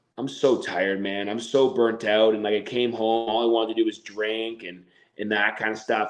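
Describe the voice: The man's pitch sits fairly low, and he keeps a moderate pace.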